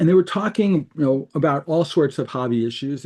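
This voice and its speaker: At a fairly quick pace, a man speaks with a dark, mellow tone. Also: quiet background. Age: 60s. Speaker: card-search startup co-founder. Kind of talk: interview.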